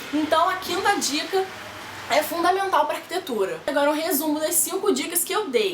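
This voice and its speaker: A woman speaks with an animated tone at an extremely high pitch. There is audible room echo and noticeable background noise. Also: ordinary pitch variation. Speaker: architecture student vlogger. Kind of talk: casual vlog tips. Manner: fast.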